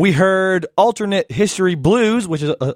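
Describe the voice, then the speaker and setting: A man's lively, fairly slow speech in a dry, close sound with no echo, on a very clean recording with a silent background. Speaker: radio host. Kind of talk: radio show hosting. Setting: studio. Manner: halting.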